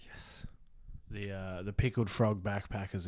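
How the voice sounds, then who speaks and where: A man's very deep, low voice with an Australian accent at a moderate pace, on a very clean recording with a silent background. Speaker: film crew member. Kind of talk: casual chat.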